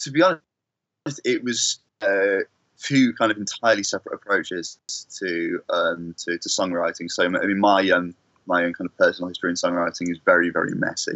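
A man talks with a Manchester accent. His pace is fairly quick. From Manchester, England. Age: 20s. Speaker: singer-songwriter. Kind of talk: interview. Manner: halting.

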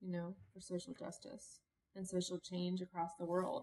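A somewhat breathy woman's voice at a medium pitch, with an American accent. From Cincinnati, Ohio, US Midwest. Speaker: activist and leadership consultant. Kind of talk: casual interview.

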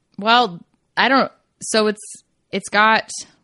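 In an American accent, a woman speaks with a bright, sharp tone. The sound is dry and close with no echo, over a quiet background. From rural Kentucky. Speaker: new shooter, host's wife. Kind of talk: casual chat.

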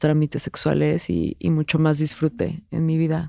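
A woman's very deep, low voice at a fairly slow pace, dry and close with no echo, in a very clean recording with a silent background. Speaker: podcast co-host, sociologist. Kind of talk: casual chat.

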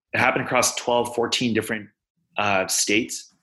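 A man's bright, sharp tone with vocal fry, in an American accent. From Texas, Houston. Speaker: physician and tech startup founder. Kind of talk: interview.

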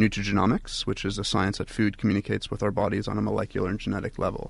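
A man talks in a flat monotone with vocal fry. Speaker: juice company founder. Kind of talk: radio interview. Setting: studio.

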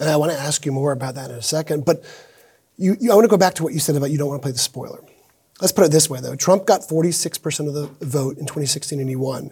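Very fast speech from a man, fairly high and somewhat breathy, its pitch varying in an ordinary way. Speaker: political reporter and podcast co-host. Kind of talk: moderated interview. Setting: stage with audience.

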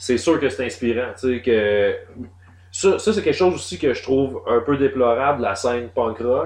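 A man with a Quebec accent talks at a fairly slow pace in a medium pitch, his intonation lively against a quiet background. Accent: Québécois French. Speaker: podcast host. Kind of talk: casual chat.

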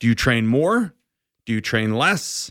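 In an ordinary speaking voice at medium pitch, a man speaks at a fairly slow pace on a very clean recording with a silent background. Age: 40s. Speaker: endurance coach. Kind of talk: casual chat. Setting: studio.

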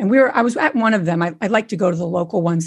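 Lively intonation marks this woman's fairly low, somewhat breathy voice. She speaks at a very fast pace. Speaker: co-founder of a real estate community and podcast. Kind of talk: interview about real estate.

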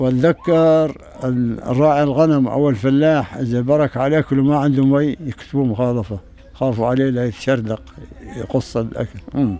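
Over noticeable background noise, a man with a medium pitch and ordinary pitch variation talks at a fairly slow pace. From Syria, rural Aleppo. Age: 80s+. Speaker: elderly refugee. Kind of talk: interview testimony. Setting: tent in refugee camp.

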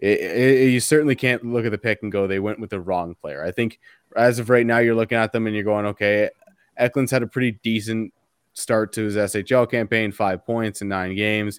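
Heard with a dry, close sound and no echo, a man talks in a normal speaking voice at a fairly quick pace with fairly even intonation. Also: medium pitch for a man. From Canada. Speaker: hockey writer. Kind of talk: casual chat.

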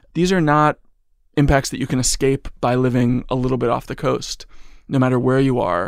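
On a very clean recording with a silent background, a man speaks at medium pitch and a moderate pace, with ordinary pitch variation. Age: 30s. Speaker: journalist and author. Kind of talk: interview.

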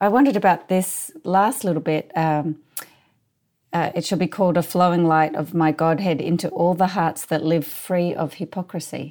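A woman uses a normal speaking voice with a fairly low pitch, ordinary pitch variation and a moderate pace. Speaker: podcast co-host interviewer. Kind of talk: contemplative dialogue.

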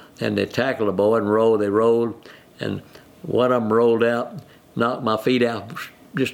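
A man with a West Texas accent talks at a moderate pace in a medium pitch. Noticeable background noise is present. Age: 80s+. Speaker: retiree and football fan. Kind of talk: interview.

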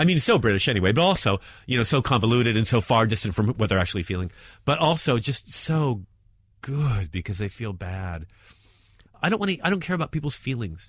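A man in an American accent speaks at a very fast pace, with a medium pitch, very wide pitch swings, and a somewhat breathy voice, on a very clean recording with a silent background. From New York. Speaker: stand-up comedian. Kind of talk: interview.

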